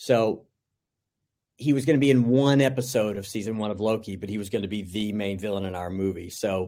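A man with a fairly low pitch and a dark, mellow tone speaks at a fairly quick pace with ordinary pitch variation. The recording is very clean, with a silent background. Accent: American. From US South. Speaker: film director. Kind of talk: interview. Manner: halting, many fillers.

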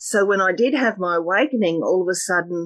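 An Australian-accented woman speaks at a moderate pace and medium pitch, the sound dry and close with no echo. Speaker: meditation teacher and energy healer. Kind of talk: casual interview.

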